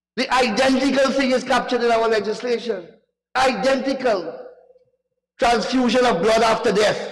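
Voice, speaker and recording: An extremely high-pitched man's voice in an animated tone, with audible room echo. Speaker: member of parliament. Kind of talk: parliamentary debate speech. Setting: parliament chamber.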